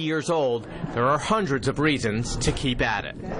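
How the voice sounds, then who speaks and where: The speaker uses lively intonation at a moderate pace, with noticeable background noise behind. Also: man. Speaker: TV news reporter. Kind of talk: TV news report.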